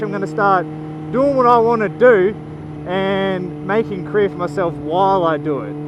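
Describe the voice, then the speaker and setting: A man with an Australian accent speaks in a high pitch. Audible room echo and noticeable background noise fill the recording. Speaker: motorcycle vlogger. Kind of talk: casual vlog. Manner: loud.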